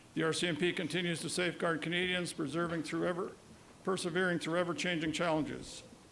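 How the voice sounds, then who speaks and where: In a room with audible echo, a man speaks very fast at a high pitch, his bright, sharp tone held at very even loudness in a monotone, flat delivery. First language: Woodland Cree. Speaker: provincial vice-regal representative, retired police officer. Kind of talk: ceremonial speech. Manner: formal.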